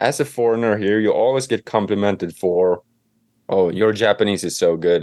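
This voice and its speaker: A man with a Swedish accent talks at a moderate pace in a fairly low pitch. His pitch varies in an ordinary way, and the background is quiet. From Sweden, Stockholm. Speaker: home renovator and author. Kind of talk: interview.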